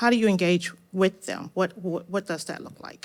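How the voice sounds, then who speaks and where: This is an unremarkable speaking voice with fairly even intonation. The recording is very clean, and the background is silent. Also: woman. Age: 60s. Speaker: audience member, retired teacher and author. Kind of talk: audience question at live event. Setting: stage event with live audience.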